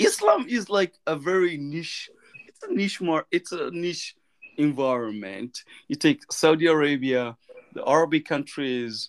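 In a normal speaking voice, a man with a fairly high pitch talks at a fairly slow pace, with lively intonation, big swings in loudness, and a dry, close sound with no echo. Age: 40s. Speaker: scientist. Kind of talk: casual chat.

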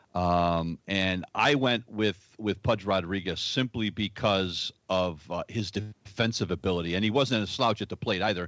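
Using a normal speaking voice, a man speaks at a moderate pace with hardly any pauses and ordinary pitch variation, in a dry, close sound with no echo over a quiet background. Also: fairly low pitch for a man. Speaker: baseball fan, former official scorer. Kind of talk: casual chat.

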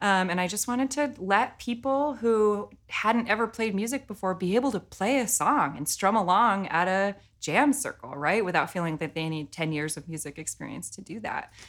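A woman with a plain, everyday voice talks at a medium pitch and a moderate pace, with hardly any pauses. Her intonation is lively, her loudness swings widely, and the recording is very clean with a silent background. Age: 30s. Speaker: singer-songwriter. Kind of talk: casual interview. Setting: studio.

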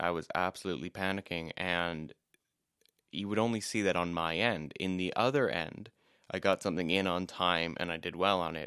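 This man's voice is very deep and low with a bright, sharp tone, captured in a very clean recording with a silent background and a dry, close sound free of echo. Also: fairly even intonation, moderate pace. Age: 20s. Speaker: podcast co-host. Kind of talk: casual chat.

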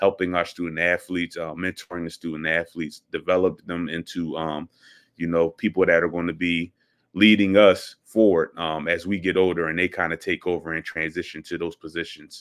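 Fairly quick and monotone, a man speaks with a flat intonation and an American accent. His pitch is very deep and low. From Philadelphia. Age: young. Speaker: athletic director. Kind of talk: interview.

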